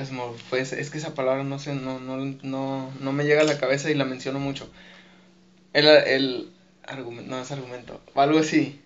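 A man with a fairly high pitch talks at a moderate pace in a monotone, flat intonation. His loudness swings a lot, and the room echo is audible. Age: 20s. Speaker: street dance teacher. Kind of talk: casual chat.

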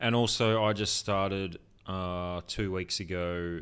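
Ordinary pitch variation in a very clean recording with a silent background. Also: man. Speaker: travel vlogger and podcast co-host. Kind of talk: casual chat. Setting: home recording with microphones.

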